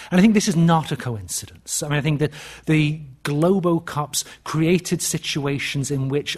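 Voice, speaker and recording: This man speaks at a fairly quick pace in a fairly high, somewhat breathy voice with fairly even intonation. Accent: British. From England. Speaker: history professor. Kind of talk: lecture. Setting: stage with audience. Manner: halting.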